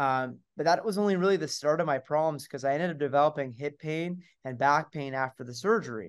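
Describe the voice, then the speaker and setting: This man has an ordinary speaking voice, a fairly high pitch and ordinary pitch variation. He moves at a fairly quick pace with hardly any pauses, on a very clean recording with a silent background. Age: 20s. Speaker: physiotherapist. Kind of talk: interview.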